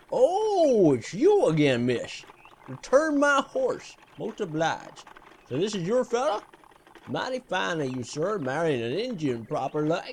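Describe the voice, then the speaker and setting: Putting on a gruff character voice, a man speaks high in pitch at a moderate pace with very wide pitch swings. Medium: audio drama. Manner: folksy, gruff.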